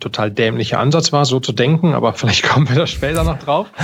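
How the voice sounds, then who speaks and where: A man's voice comes out somewhat breathy. His medium pitch shows ordinary variation. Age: 40s. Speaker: podcaster and entrepreneur, former army officer. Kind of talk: casual interview.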